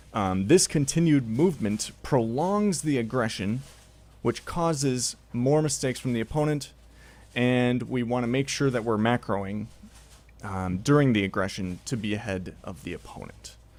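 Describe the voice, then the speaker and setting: A man talks at a moderate pace with a medium pitch. His intonation is lively. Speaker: video game coach. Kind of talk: tutorial. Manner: hesitant, many fillers.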